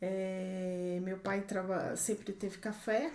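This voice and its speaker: The speech comes across monotone and flat over noticeable background noise, with audible echo from the room. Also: woman. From Brazil, southern Minas Gerais. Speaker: organic farm owner, agronomist. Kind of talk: podcast interview.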